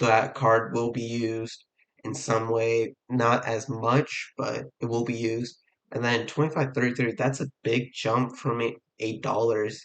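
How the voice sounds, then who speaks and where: Monotone and flat in intonation, a man speaks at a fairly slow pace. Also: medium pitch for a man. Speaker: card game content creator. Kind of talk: casual talk to camera. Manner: hesitant, many fillers.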